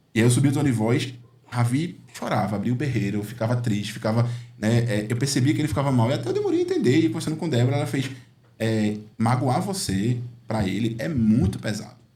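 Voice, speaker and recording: Very fast speech with ordinary pitch variation rings with audible room echo. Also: man, medium pitch for a man. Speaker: uncle and father figure to a nephew. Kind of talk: podcast conversation. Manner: halting, many fillers.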